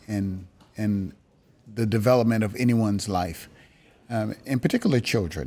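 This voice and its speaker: A plain, everyday voice from a man with an American accent, fairly low in pitch with ordinary pitch variation. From Maryland, near Washington D.C. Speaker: company team member. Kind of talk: casual chat.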